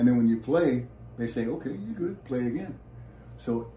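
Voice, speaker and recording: A man with a dark, mellow tone and vocal fry talks at a medium pitch and a fairly quick pace, with audible room echo. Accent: American. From US West Coast, San Francisco Bay Area. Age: 70s. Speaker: musician and actor. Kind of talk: interview.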